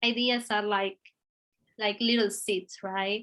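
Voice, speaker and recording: A woman with an Argentinian accent speaks in a fairly high pitch with a bright, sharp tone and monotone, flat intonation. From Argentina. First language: Spanish. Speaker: visual artist. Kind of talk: interview conversation. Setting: video call. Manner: halting.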